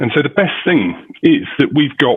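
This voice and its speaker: A man speaks with a British accent. His pace is moderate. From United Kingdom. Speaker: parent. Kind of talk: public comment at school board meeting.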